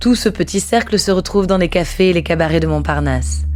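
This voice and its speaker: A woman's voice over music in the background. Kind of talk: documentary narration.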